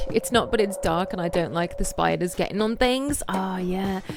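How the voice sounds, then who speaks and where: Amid noticeable background noise, a woman talks at a moderate pace and medium pitch, with ordinary pitch variation. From England, Birmingham. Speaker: streamer. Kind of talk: casual chat. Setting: live stream. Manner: animated.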